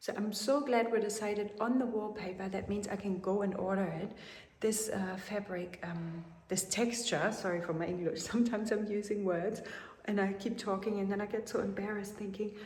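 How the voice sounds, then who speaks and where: A woman with a German accent talks at a fairly quick pace with fairly even intonation, amid noticeable background noise and audible room echo. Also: medium pitch for a woman. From Germany. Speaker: chateau renovation vlogger. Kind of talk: casual vlog chat.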